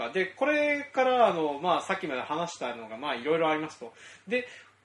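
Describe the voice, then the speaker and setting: Over noticeable background noise, a man speaks in a fairly high pitch with very wide pitch swings. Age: 30s. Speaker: farmer and podcast host. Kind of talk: casual chat.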